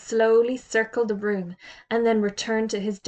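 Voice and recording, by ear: Someone is reading aloud in a natural voice. The words are read out plainly.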